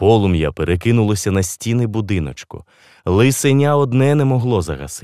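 Lively intonation in a natural reading voice

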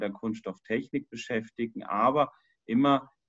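A man is speaking against a quiet background. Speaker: professor presenting himself. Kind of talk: presentation to online meeting. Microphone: video call.

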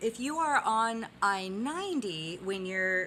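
A woman speaks in a bright, sharp tone. Light background noise can be heard. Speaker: geology vlogger. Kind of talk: casual educational vlog. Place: home room. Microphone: phone near.

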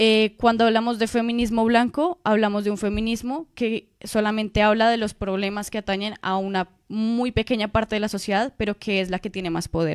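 In a dry, close sound with no echo and a silent background on a very clean recording, a woman with an unremarkable speaking voice talks at a moderate pace with hardly any pauses, a fairly high pitch and fairly even intonation. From Colombia. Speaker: master's student and activist. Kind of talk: radio interview.

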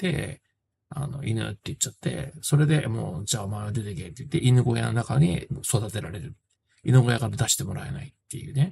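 A man's fairly quick speech with vocal fry. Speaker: film reviewer. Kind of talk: casual film review talk. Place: home room. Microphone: phone near.

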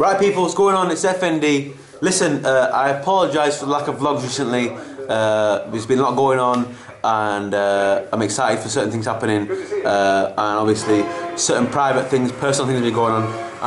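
There is noticeable background noise. A man speaks at a moderate pace. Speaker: vlogger. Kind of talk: casual vlog chat. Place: home room. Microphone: camera far.

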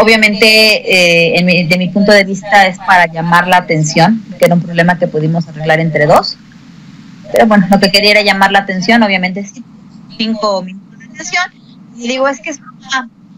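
A woman at a medium pitch and fairly quick pace, ordinary pitch variation, big swings in loudness, noticeable background noise. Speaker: schoolteacher. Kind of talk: interview. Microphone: cheap headphones, sound problems.

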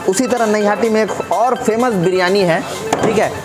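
A man speaks with ordinary pitch variation. Clear music plays in the background. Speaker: food vlogger. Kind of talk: casual vlog chat. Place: shop. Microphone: lapel.

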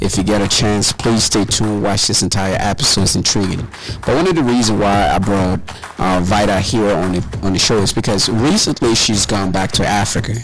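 Noticeable noise sits behind a man's voice. He speaks at a fairly low pitch, with very even loudness. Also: ordinary pitch variation, fairly quick pace. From Ghana. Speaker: podcast host. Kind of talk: casual intro to camera. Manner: casual.

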